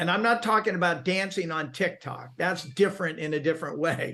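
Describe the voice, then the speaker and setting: A man speaks in an energetic, bright, sharp tone at a high pitch with ordinary variation. The background is quiet. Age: 70s. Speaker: real estate video marketer. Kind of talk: interview.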